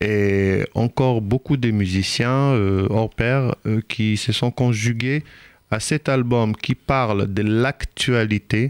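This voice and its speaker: A man speaks at a very slow pace with fairly even intonation and very even loudness. The sound is dry and close, with no echo. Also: medium pitch for a man. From Israel (Ashkelon region), Ethiopian parents. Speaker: reggae musician. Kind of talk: radio interview. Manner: hesitant, many fillers.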